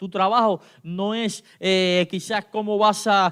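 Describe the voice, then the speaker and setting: Here a man speaks at a high pitch with fairly even intonation. The recording is very clean with a silent background and a dry, close sound with no echo. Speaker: pastor. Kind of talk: sermon. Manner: halting.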